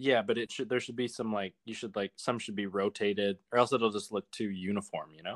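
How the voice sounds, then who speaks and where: A man with a plain, everyday voice talks at a fairly quick pace and a fairly low pitch, his intonation fairly even and his loudness swinging widely. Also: hardly any pauses, dry, close sound with no echo. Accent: Canadian. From Calgary, Alberta, Canada. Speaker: podcast guest. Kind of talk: casual chat.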